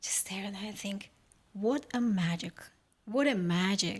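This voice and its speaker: Speaking at a moderate speed, a woman sounds somewhat breathy. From Uzbekistan. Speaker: podcast guest. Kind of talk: interview, personal story. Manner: halting, with fillers and restarts.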